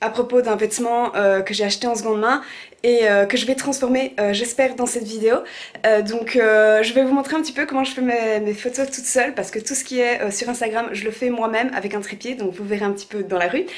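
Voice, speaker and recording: This woman talks at a fairly quick pace, her fairly high pitch held in fairly even intonation. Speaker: lifestyle vlogger. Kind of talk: casual vlog. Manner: many filler hesitations.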